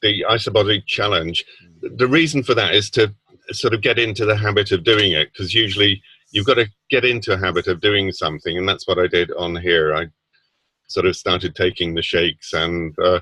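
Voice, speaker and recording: A man speaks at a fairly quick pace with a British accent. His fairly low voice has a bright, sharp tone. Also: ordinary pitch variation, dry, close sound with no echo. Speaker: product user sharing results. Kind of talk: testimony. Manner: halting.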